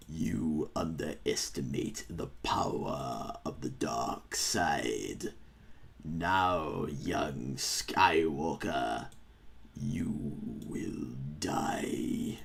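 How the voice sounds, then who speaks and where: Over light background noise, a man does a raspy, put-on character voice at a very slow pace. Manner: sinister.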